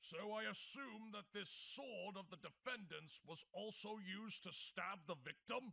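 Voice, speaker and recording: In a cartoonish character voice, a man speaks with high pitch at a moderate pace, hardly pausing. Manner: formal, easily surprised.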